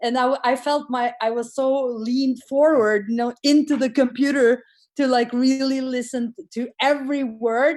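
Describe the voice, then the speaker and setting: A woman's high-pitched voice in a non-native accent, monotone and flat in intonation, at a moderate pace. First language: not English. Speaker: course participant. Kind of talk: casual chat. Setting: video call. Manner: halting.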